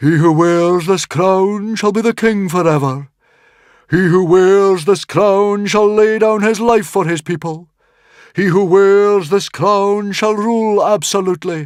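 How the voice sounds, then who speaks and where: A man puts on a character voice, pitched high with fairly even intonation. He goes at a fairly slow pace on a very clean recording with a silent background. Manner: solemn, fateful.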